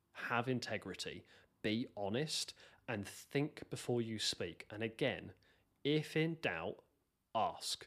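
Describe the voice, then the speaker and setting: Very slow speech from a man, medium-pitched, with ordinary pitch variation and long, frequent pauses. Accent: British. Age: 30s. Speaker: software developer. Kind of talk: interview. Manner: halting, many fillers.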